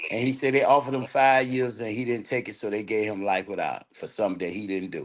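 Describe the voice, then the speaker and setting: Over noticeable background noise, a man at medium pitch races along at a very fast pace with ordinary pitch variation. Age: 60s. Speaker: guest on prison talk livestream. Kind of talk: casual chat.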